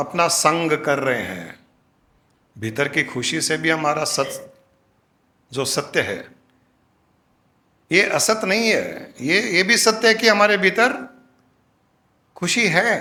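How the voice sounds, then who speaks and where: Using a raised, projected voice with a bright, sharp tone, a man speaks with long, frequent pauses. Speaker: spiritual guru. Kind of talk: satsang discourse.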